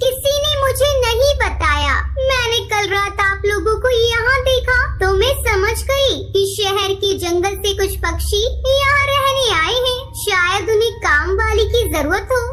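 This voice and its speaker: A female-sounding, cartoonish character voice speaks at an extremely high pitch and a fairly slow pace. Clear background noise is present. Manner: deferential on the surface, sinister underneath.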